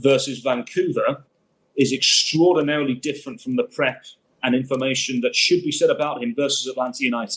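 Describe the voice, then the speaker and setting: Here is a man with an English accent and a fairly high pitch. He talks at a fairly quick pace. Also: ordinary pitch variation. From Birmingham, England. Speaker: football commentator. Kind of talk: interview answer.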